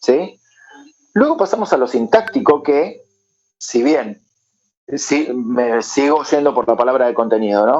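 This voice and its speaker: A man speaks at a fairly slow pace with a fairly high pitch. His loudness stays very even, broken by long, frequent pauses. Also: lively intonation. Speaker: English teacher. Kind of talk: lecture.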